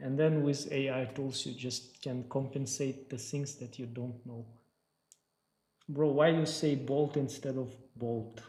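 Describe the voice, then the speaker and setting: The speaker has a non-native accent and a fairly slow pace. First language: not English. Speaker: 3D artist and sculpting teacher. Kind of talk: livestream tutorial with chat Q&A. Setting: livestream.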